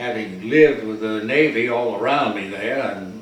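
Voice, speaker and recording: A man speaks in an American accent with ordinary pitch variation, amid audible room echo and noticeable background noise. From North Carolina, US South. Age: 80s+. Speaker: war veteran. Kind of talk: interview. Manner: halting.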